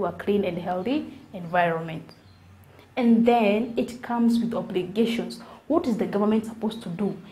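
At a moderate pace, a woman speaks in a fairly high pitch with a somewhat breathy, dark, mellow tone. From Kenya. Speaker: environmental educator, video creator. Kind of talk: educational monologue to camera. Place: home room. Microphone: lapel.

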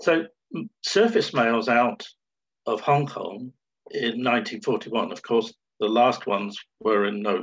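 A man talks very slowly while the background stays quiet. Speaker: presenter, stamp collector. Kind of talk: presentation. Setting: video call. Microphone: video call.

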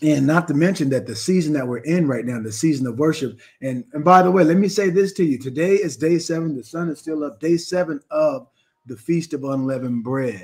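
A man talking at a fairly quick pace over a quiet background. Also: ordinary pitch variation. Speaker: religious teacher. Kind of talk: live stream teaching. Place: home room. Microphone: webcam.

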